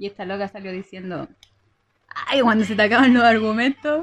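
The voice is a woman's, somewhat breathy. She talks fairly quickly. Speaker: podcast co-host. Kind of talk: casual chat.

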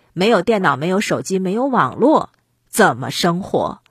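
Very wide pitch swings mark this woman's medium-pitched, somewhat breathy voice at a moderate pace. The recording is very clean, with a silent background. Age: 40s. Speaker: podcast commentator. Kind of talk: solo commentary monologue.

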